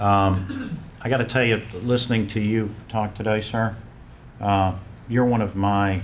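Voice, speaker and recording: A man with a strong Western North Carolina accent speaks at a fairly slow pace. His pitch is fairly low with ordinary variation, and the room echo is audible. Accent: strong Western North Carolina Southern. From Western North Carolina (Asheville). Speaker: fraternity alumnus speaking at memorial. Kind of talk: personal testimony at memorial ceremony.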